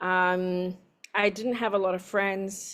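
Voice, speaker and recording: Spoken in a Spanish accent with monotone, flat intonation, the voice comes through a very clean recording with a silent background. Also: woman. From San Diego, California, Mexican-American family. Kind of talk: interview testimony. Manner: halting, translating while speaking.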